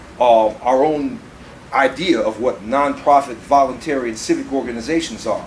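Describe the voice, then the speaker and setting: A man speaks with lively intonation at a moderate pace over noticeable background noise. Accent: American. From Chicago, South Side. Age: 60s. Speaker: political activist and editor. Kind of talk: panel talk. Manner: animated.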